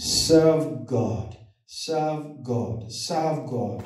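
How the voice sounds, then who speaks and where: Audible room echo surrounds a man whose pitch is fairly high. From Nigeria. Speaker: lay preacher. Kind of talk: sermon. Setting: church. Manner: animated. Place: church. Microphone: camera far.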